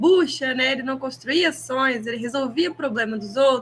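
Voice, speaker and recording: A woman's raised, projected voice at a high pitch, with ordinary pitch variation and a moderate pace. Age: 20s. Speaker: podcast co-host, product manager. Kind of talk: casual chat.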